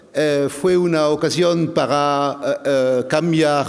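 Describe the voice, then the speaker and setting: A man speaks in a French accent with a fairly high voice. The recording has audible room echo and noticeable background noise. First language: French (speaking Spanish). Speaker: agricultural expert, plant protection official. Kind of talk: conference talk. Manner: halting, many hesitations.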